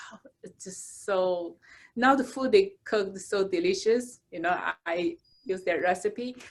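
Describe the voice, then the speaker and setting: A woman with a Chinese accent at a fairly slow pace. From China. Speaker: architect and cooking channel creator. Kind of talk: casual chat.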